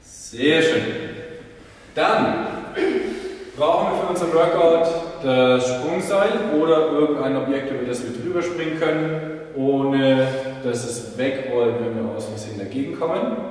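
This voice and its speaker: There is strong room echo around a man's voice. He shows ordinary pitch variation and takes long, frequent pauses. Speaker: fitness trainer. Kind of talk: workout instruction. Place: gym.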